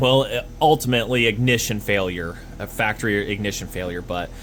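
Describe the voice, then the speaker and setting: Speech at a fairly quick pace, with ordinary pitch variation, comes through over noticeable background noise. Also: man. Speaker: small engine repair youtuber. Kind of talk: tutorial. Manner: rambling, self-interrupting; stuttering.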